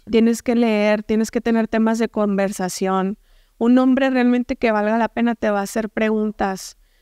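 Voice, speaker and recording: Woman in a northern Mexican accent, dark and mellow in tone, monotone and flat, very even in loudness, at a moderate pace, dry with no echo against a quiet background. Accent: northern Mexican (Sonoran) Spanish. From Mexico, Hermosillo, Sonora; Sonora, Mexico. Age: 20s. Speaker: entrepreneur and speaker; speaker. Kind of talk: interview testimony. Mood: candid, reflective storytelling. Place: studio. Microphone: studio mic.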